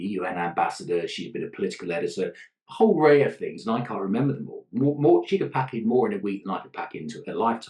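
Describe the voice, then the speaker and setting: This man talks at a very fast pace. He has a British accent. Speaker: leadership consultant, gender ally. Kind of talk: podcast interview answer.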